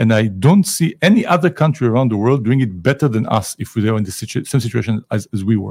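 A man with an Israeli accent speaks at a medium pitch and a very fast pace, with hardly any pauses. His intonation is lively, and the recording is very clean with a silent background. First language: Hebrew. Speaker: ambassador, diplomat. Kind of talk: interview. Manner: animated.

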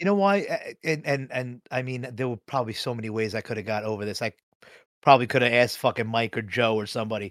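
On a very clean recording with a silent background and a dry, close sound with no echo, a man talks at a very fast pace in a medium pitch with ordinary pitch variation. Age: 40s. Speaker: podcast co-host. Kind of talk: casual chat. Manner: halting, filler-heavy.

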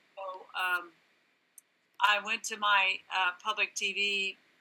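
A woman with a Californian accent speaks at a medium pitch in a bright, sharp tone. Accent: American (Californian). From California, Santa Barbara. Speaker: ministry leader, former radio reporter. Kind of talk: interview testimony.

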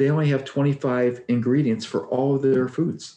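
The man has a dark, mellow tone at a medium pitch. He speaks at a moderate pace. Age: 60s. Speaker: weight loss coach guest. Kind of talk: casual interview. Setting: video call.

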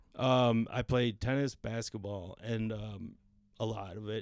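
A man talks in a plain, everyday voice at a medium pitch. His pitch varies in an ordinary way. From Filipino-American. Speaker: podcast guest host. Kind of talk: casual chat.

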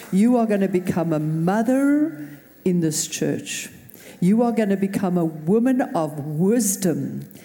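Her dark, mellow voice is somewhat breathy as the woman speaks at a fairly slow pace. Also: medium pitch for a woman. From South Africa. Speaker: pastor. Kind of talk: prayer. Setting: church.

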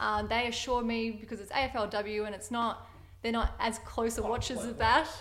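With vocal fry and a fairly high pitch, a woman speaks at a moderate pace in a monotone, flat intonation. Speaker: partner of host, guest. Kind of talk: casual chat.

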